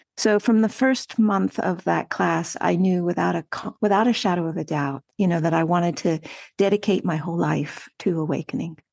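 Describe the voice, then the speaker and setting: In a plain, everyday voice, a woman with a fairly low pitch speaks at a moderate pace with hardly any pauses and ordinary pitch variation, over a quiet background. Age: 60s. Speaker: meditation teacher. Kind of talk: podcast interview.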